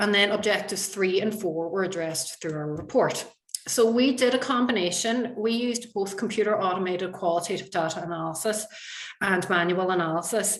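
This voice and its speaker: A woman with a Donegal accent talks at a fairly quick pace with medium pitch and ordinary pitch variation, amid audible room echo and noticeable background noise. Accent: Donegal Irish. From Ireland, County Donegal. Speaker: university researcher. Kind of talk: conference presentation. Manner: fast.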